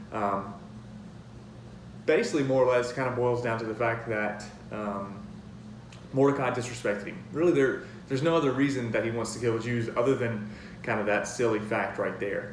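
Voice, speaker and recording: A man speaks at a medium pitch and a fairly quick pace, with long, frequent pauses. Noticeable background noise and audible room echo are present. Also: fairly even intonation. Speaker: youth minister giving a sermon. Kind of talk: sermon. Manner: fast; hesitant, many filler words.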